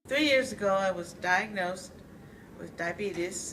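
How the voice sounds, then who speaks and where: Audible room echo around a woman speaking at medium pitch, her pitch moving in the usual way. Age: 60s. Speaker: tai chi student. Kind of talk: testimony.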